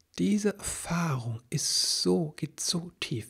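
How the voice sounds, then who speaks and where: Against a quiet background, a man speaks in a somewhat breathy voice. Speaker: parenting coach and podcast host; parenting coach, podcast host. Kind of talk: solo podcast monologue about a coaching program. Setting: solo recording on video. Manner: halting, with many fillers. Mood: earnest, personal, calm. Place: home room. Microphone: studio mic.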